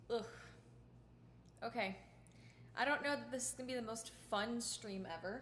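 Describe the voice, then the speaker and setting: A woman with a fairly high voice and vocal fry speaks at a moderate pace with ordinary pitch variation and long, frequent pauses, her words carrying audible room echo. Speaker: violinist streamer. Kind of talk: casual livestream chat. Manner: casual, chatty.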